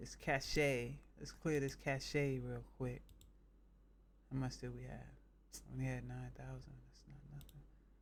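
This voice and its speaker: A man speaks with an American accent, leaving long, frequent pauses. Room echo is audible. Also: fairly slow pace, big swings in loudness. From northern US. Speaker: game streamer. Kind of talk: casual chat.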